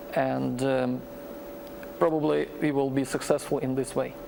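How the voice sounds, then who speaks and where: Speaking fairly slowly, a man is heard with noticeable background noise in the mix. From Ukraine. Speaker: Ukrainian commentator. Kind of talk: tv panel discussion. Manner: halting, many repetitions.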